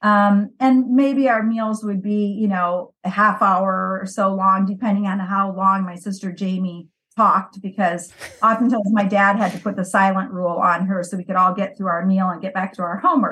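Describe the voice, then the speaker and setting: Bright, sharp-toned woman's voice of medium pitch with a Midwestern US accent, fairly even intonation and a moderate pace. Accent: US Midwest. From US Midwest, Valparaiso Indiana. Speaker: missionary. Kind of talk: interview.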